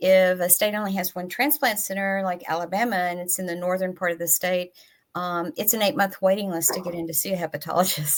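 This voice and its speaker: In a Tennessee accent, a woman talks at a fairly quick pace. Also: very clean recording, silent background. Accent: Southern US (Tennessee). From US South, East Tennessee. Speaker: patient advocacy nonprofit director. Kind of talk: panel discussion.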